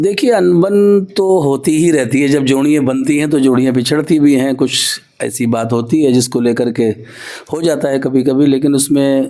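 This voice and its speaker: A man's fairly high voice with ordinary pitch variation and very even loudness over noticeable background noise. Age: 60s. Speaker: qawwali singer. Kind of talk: interview.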